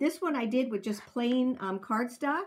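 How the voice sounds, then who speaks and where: A woman talks with ordinary pitch variation against light background noise. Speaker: craft demonstrator. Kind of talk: tutorial.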